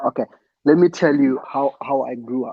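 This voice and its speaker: The man's voice sits at medium pitch and has a dark, mellow tone. He keeps a moderate pace. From Zimbabwe, Harare area (Newlands). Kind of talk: casual chat.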